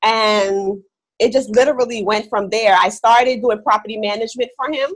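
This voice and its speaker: Using an ordinary speaking voice, a woman talks at a fairly quick pace. Her pitch is fairly high and her intonation fairly even. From West Indies, raised in New York City. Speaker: real estate investor. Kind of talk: interview. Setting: video call.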